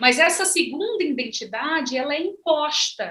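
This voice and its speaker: A woman's raised, projected voice, bright and sharp in tone, at a fairly slow pace. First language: Ze'eng eté (Guajajara) (speaking Portuguese). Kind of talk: panel conversation.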